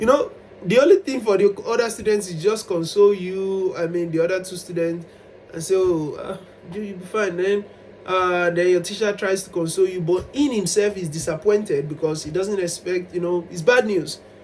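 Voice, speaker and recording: Noticeable background noise accompanies a moderate pace and ordinary pitch variation. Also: man, high pitch for a man. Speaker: vlogger. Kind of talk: personal storytelling monologue. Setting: self-recorded on camera. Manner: animated, at times loud.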